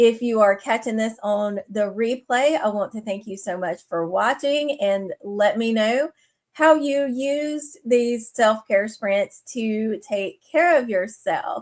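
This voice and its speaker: A very slow pace with hardly any pauses and ordinary pitch variation. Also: woman, fairly high pitch for a woman. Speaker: livestream host. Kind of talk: casual livestream chat. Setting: livestream. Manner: hesitant, many fillers.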